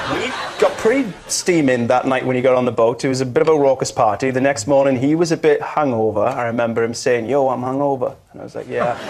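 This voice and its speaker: With hardly any pauses, a man in a Welsh accent talks very fast at a medium pitch with fairly even intonation over noticeable background noise. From Wales. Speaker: panel show guest. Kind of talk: storytelling on comedy panel show.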